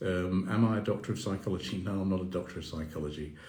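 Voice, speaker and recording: Audible room echo surrounds a man's very deep, low voice, which has a dark, mellow tone and is somewhat breathy. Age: 60s. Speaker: mindfulness coach. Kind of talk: live Q&A stream. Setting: Instagram live video. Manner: halting.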